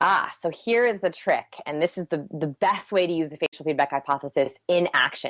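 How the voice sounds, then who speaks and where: Over a dry, close sound with no echo, a woman talks at a fairly low pitch with ordinary pitch variation and hardly any pauses. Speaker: human behavior researcher. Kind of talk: podcast interview. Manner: fast.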